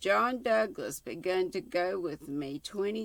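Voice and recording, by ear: With lively intonation, the speaker reads aloud in a natural voice.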